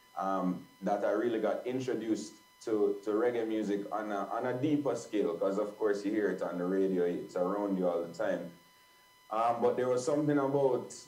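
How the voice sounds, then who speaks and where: A man speaks at a moderate pace with a fairly low pitch. Room echo can be heard around his voice. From Jamaica (Kingston). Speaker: live sound engineer. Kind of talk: guest talk on a video call. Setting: video call. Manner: halting, many repetitions and fillers.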